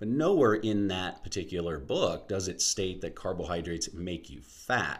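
Audible room echo surrounds the voice. A man speaks with a very deep, low pitch. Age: 40s. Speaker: podcast host, health and fitness educator. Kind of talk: solo educational podcast monologue.

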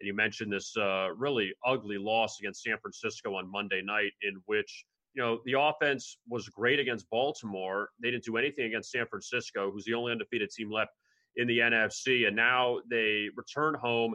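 Here is a man with a normal speaking voice at a medium pitch. His intonation is fairly even and his pace moderate. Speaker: sports betting analyst. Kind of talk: casual sports betting chat.

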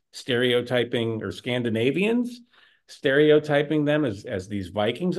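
The speaker has a Chicago accent and very wide pitch swings. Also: man. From Chicago area. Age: 50s. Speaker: podcast co-host. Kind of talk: casual chat.

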